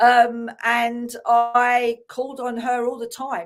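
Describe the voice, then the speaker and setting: A high-pitched woman's voice with an English accent on a very clean recording with a silent background. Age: 60s. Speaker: spiritual healer and author. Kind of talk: casual chat. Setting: live stream.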